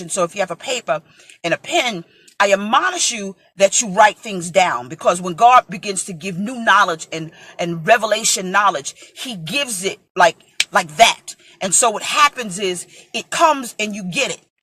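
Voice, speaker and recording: A woman speaks in an ordinary speaking voice at medium pitch and a moderate pace, her intonation lively. Her loudness swings widely, and the sound is dry and close with no echo. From New York (Brooklyn). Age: 40s. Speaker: preacher. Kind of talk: sermon.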